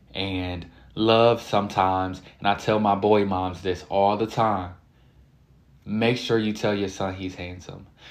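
The delivery has an animated tone and a fairly slow pace, with room echo audible. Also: man, fairly low pitch for a man. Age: 20s. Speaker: podcast host. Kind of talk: casual monologue.

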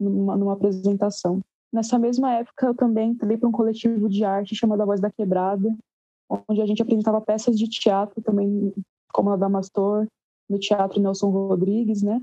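Dark and mellow, a woman's medium-pitched voice moves at a fairly quick pace. Her intonation is monotone and flat, and her loudness stays very even. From Guarulhos, São Paulo, Brazil. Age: 18. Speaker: musician, bassist and singer. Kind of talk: casual interview.

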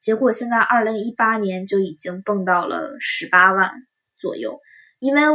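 A woman at a moderate pace, fairly high pitch, lively intonation, and a bright, sharp tone. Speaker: student podcaster. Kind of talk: casual monologue.

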